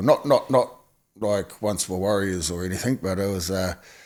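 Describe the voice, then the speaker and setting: Someone talks at a fairly quick pace with a New Zealand accent. The recording is very clean, with a silent background. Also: man. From New Zealand, Napier, Hawke's Bay. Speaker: former gang member. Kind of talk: interview testimony. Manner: halting.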